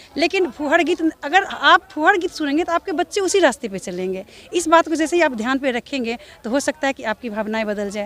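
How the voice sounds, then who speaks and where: A woman speaks at a high pitch with very wide pitch swings and big swings in loudness. The sound is dry and close with no echo, though background noise is noticeable. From Darbhanga, Bihar. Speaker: folk singer. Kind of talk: interview answer. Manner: firm, earnest.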